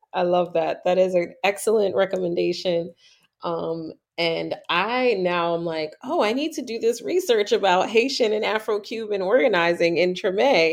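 A woman with an American accent speaks at medium pitch and a moderate pace, with ordinary pitch variation, against a quiet background. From New York. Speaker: podcast host. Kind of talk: casual chat. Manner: animated.

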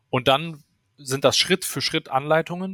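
A man speaks in an ordinary speaking voice with ordinary pitch variation. The sound is dry and close, with no echo. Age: 30s. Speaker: startup founder and CTO. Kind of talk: interview.

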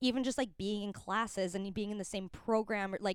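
Set in a Canadian accent, this is an ordinary speaking voice with ordinary pitch variation. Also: woman. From Calgary, Canada. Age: 20s. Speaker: film and TV costumer. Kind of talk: casual chat.

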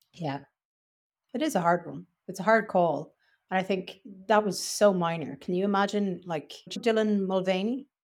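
A woman with an Irish accent speaks at a medium pitch and moderate pace with ordinary pitch variation, leaving long, frequent pauses. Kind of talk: casual chat.

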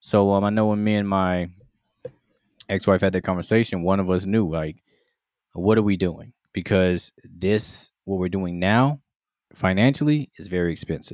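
A man with a very deep, low voice speaks at a moderate pace, pausing often and at length. The recording is very clean, with a silent background. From Mississippi. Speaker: podcast host. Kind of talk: casual chat. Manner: monotone.

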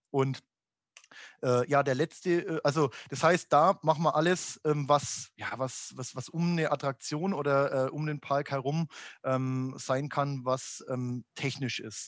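Against a quiet background, a man speaks very slowly at a fairly high pitch with fairly even intonation, the sound dry and close with no echo. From Upper Franconia, Germany. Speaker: amusement industry executive. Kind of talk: podcast interview. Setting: home office. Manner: halting, many fillers.

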